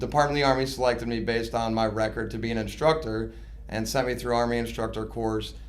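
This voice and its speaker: Amid noticeable background noise and audible room echo, a man with an American accent talks very fast. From US Midwest, suburbs of Chicago. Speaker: army recruiter and station commander. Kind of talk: interview.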